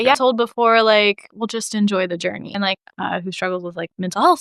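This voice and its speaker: A woman with a Midwestern American accent speaks at a very fast pace with hardly any pauses and big swings in loudness. Her medium pitch shows ordinary variation, and the sound is dry and close with no echo. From Franklin, Indiana. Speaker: school counselor. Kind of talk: interview answer. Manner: casual, candid.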